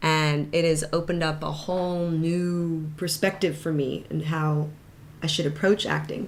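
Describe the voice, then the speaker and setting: A woman with an American accent speaks fairly slowly at a very deep, low pitch, her intonation monotone and flat, with audible room echo. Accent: American-sounding. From Hong Kong, then Bangkok international school. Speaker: actress and voice actor, school director. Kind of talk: casual chat.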